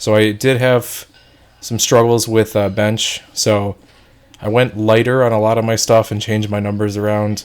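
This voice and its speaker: Fairly low male speech in a monotone, flat intonation at a moderate pace. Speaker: fitness vlogger. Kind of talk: vlog voiceover.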